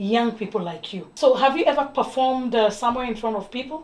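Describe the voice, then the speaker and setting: A woman with an East African accent and ordinary pitch variation, over noticeable background noise. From Kenya. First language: Swahili. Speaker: TV talk show host. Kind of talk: interview.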